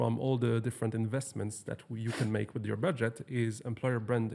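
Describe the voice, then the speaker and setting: A man with a French accent speaks in fairly even intonation. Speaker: podcast host. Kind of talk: podcast interview. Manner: halting.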